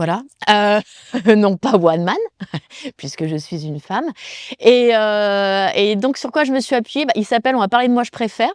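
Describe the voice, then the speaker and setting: Long, frequent pauses break up a woman's fairly high voice, with lively intonation at a moderate pace. The recording is very clean, with a silent background and a dry, close sound with no echo. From France, Loire (Saint-Étienne). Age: 30s. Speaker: stand-up comedian. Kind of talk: interview. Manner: halting, many fillers.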